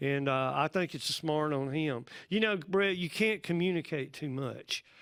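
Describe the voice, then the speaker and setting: This very clean recording with a silent background features a man with a Southern US accent speaking at a moderate pace, his pitch fairly high with ordinary variation. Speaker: pastor. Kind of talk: casual chat.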